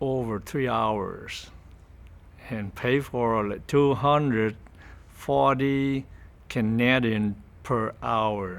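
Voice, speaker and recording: Speaking with a Vietnamese accent at a medium pitch, a man goes at a very slow pace with long, frequent pauses and ordinary pitch variation. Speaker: refugee interviewee. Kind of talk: interview testimony. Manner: halting.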